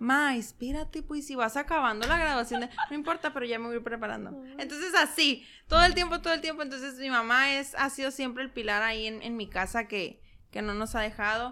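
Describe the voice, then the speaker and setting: Projecting her voice, a woman speaks fairly quickly at a high pitch with ordinary pitch variation. Her tone is bright and sharp. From Mexico, San Luis Río Colorado, Sonora. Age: 20s. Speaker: entrepreneur, shop owner. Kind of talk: casual interview. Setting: ranch, on location.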